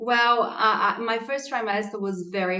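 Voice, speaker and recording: A woman speaks in a Portuguese accent with ordinary pitch variation. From Brazil, Santos (near São Paulo). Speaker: pregnant podcast guest. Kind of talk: casual interview.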